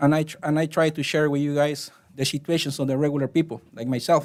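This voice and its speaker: In a very clean recording with a silent background, a man with a Spanish accent and a fairly high pitch talks at a fairly quick pace in a monotone, flat intonation. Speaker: resident speaking at public comment. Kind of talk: public comment at council meeting. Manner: halting.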